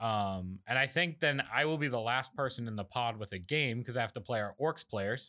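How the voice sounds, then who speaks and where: A man's medium-pitched voice, an ordinary speaking voice, at a moderate pace with ordinary pitch variation and hardly any pauses. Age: 20s. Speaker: podcast host. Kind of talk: casual chat.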